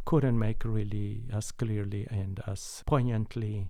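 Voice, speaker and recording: With a Mexican accent, a man speaks at a fairly slow pace in a dark, mellow tone. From Mexico. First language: Spanish. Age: 70s. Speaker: concert pianist. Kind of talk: interview conversation. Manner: warm, laughs often.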